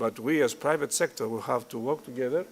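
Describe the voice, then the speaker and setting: A man with a Greek accent, moderate pace and lively intonation. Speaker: tourism industry executive. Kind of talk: conference speech. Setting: hotel conference hall.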